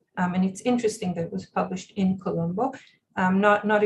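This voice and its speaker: Her somewhat breathy voice sits at a medium pitch, and this woman keeps her intonation fairly even. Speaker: professor. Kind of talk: lecture. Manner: halting.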